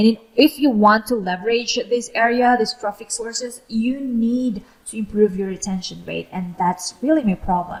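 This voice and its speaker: A woman speaks at a fairly high pitch with a non-native accent and ordinary pitch variation. She barely pauses. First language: not English. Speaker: YouTuber, freelancer. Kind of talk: tutorial. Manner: slow; hesitant, many fillers.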